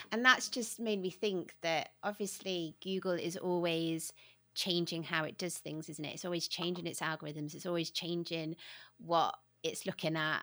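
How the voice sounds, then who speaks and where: The recording is very clean against a silent background. A woman talks in a bright, sharp tone. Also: fairly low pitch for a woman, fairly even intonation, moderate pace. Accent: British. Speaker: podcast host. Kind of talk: casual interview chat. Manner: friendly, warm.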